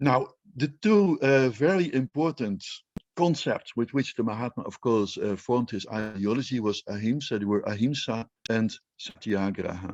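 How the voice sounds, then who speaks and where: In a Dutch accent, a man with a medium pitch speaks at a moderate pace with lively intonation, the sound dry and close with no echo. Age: 60s. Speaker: Indologist. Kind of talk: panel talk. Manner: hesitant, with fillers and repetitions.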